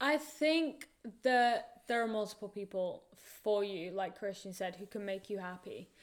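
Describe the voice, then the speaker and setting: A woman's medium-pitched voice with a northern English accent and lively intonation. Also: fairly slow pace, very clean recording, silent background. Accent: northern English, moderate. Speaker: college soccer player. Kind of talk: casual chat.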